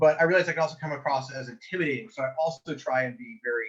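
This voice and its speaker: Speaking at a very fast pace, a man with an American accent uses a fairly high pitch. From US Pacific Northwest. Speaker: medieval combat game player, knight. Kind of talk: podcast interview. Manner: loud; animated.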